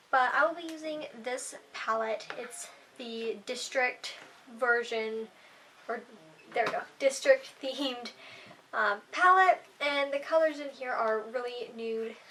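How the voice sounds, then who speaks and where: Speech is very slow, with ordinary pitch variation and big swings in loudness. Noticeable background noise runs underneath. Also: woman, high pitch for a woman. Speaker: beauty vlogger. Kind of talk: makeup tutorial vlog.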